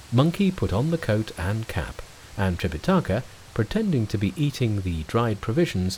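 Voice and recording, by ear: The clip is reading aloud in a natural voice.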